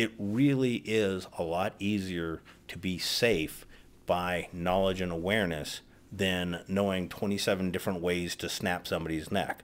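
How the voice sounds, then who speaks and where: A man speaks with a very deep, low pitch at a fairly slow pace. His intonation is fairly even, and the recording is very clean with a silent background. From US West Coast, Los Angeles. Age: 60s. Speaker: self-defense educator. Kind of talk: scripted introduction to camera.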